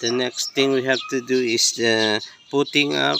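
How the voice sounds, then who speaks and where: Noticeable background noise sits behind a speaker with a Filipino accent talking at a very slow pace. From Philippines. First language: Tagalog. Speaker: backyard farmer. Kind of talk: tutorial. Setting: outdoors. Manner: halting.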